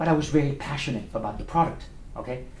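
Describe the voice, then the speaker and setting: A man talks at a very fast pace in a French accent, his pitch fairly high. Audible room echo colors the recording. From France (Paris). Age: 50s. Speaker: restaurant owner and former sales representative. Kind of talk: guest talk at a speaking club. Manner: animated.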